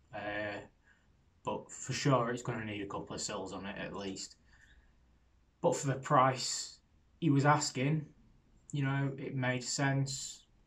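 A man's somewhat breathy voice shows ordinary pitch variation. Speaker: car hobbyist vlogger. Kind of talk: casual vlog chat. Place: garage. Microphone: phone near.

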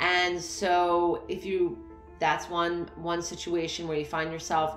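Faint music plays behind a woman whose fairly low voice carries audible room echo. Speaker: coach. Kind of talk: motivational talk to camera. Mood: warm, encouraging. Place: home room. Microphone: phone near.

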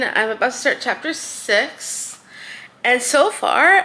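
The voice swings very widely in pitch while moving at a very slow pace. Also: woman. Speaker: book vlogger. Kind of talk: casual vlog chat. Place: home room.

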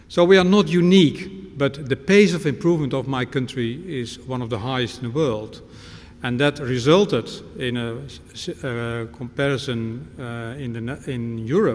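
A man talks at a moderate pace with lively intonation and big swings in loudness. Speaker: visiting lecturer. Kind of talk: lecture. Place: hall. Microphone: podium.

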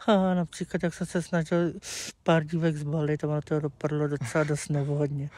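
Speaking at a moderate pace, a man has a fairly high pitch, fairly even intonation, and a dry sound with no echo. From Czech Republic, Plzeň; Czech Republic. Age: 30s. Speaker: streamer. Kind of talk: interview. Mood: candid, somewhat sheepish. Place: garden. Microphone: lapel.

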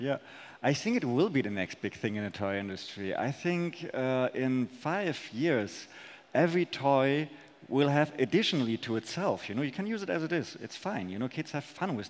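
A man at a moderate pace, with very wide pitch swings. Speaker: presenter. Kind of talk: conference talk and on-stage interview answers. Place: stage. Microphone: headset.

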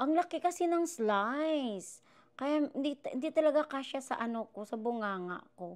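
Over a quiet background, a woman speaks in a high pitch at a moderate pace, with an animated tone and lively intonation. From Philippines. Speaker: vlogger. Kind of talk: casual mukbang vlog. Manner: animated, laughing often. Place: kitchen. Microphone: new wireless clip mic; lapel.

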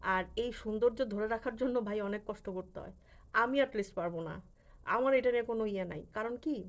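A woman with a fairly high voice and an unremarkable speaking voice, her pitch rising and falling in an ordinary way. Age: 40s. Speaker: vlogger. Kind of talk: casual vlog monologue.

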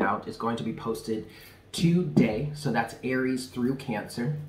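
A man talks at a fairly slow pace with ordinary pitch variation. There is audible room echo and light background noise. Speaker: tarot reader, channel host. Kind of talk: casual vlog chat.

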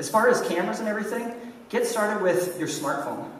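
A man talks at a very fast pace, with light background noise and audible room echo. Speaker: conference speaker, online entrepreneur and YouTuber. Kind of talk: conference talk. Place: stage.

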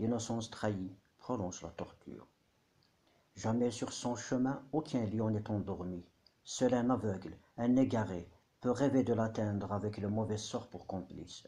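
Pausing often and at length, a man speaks in a fairly low pitch with a dark, mellow tone. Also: ordinary pitch variation. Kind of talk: poetry reading. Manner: whispered, soft.

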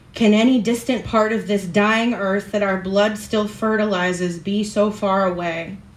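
A woman's medium-pitched voice at a moderate pace, dramatic in tone, with fairly even intonation and audible room echo. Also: hardly any pauses. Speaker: open mic performer. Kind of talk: spoken word poetry at an open mic, after a chatty, laughing intro. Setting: stage with audience at an open mic. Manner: formal, literary, dramatic delivery with dense imagery; conversational, self-deprecating and laughing in the intro. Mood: solemn, measured. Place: stage.

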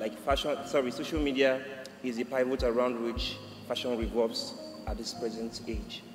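A man talks at a moderate pace. Audible room echo and light background noise surround his voice. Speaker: guest. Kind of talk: panel answer. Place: stage. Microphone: podium.

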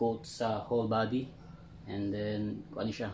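A man speaking fairly slowly, slightly mellow in tone, with vocal fry and little pitch movement

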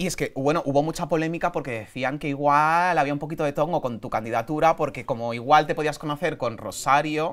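A man talks in an animated tone at a fairly quick pace with hardly any pauses. His pitch varies in an ordinary way against a quiet background. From Spain. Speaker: podcast host. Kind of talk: casual interview chat. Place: studio. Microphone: lapel.

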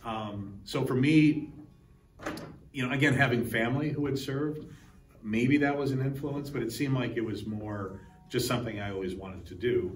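Amid light background noise and audible room echo, a man speaks at a moderate pace with ordinary pitch variation. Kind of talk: interview answer. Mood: reflective, slightly emotional. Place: hall. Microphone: lapel.

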